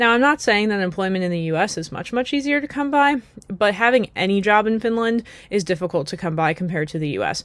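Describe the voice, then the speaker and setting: Talking at a very fast pace, a woman uses lively intonation at medium pitch on a very clean recording with a silent background. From United States. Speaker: YouTuber. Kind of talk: casual vlog monologue. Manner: conversational with frequent fillers.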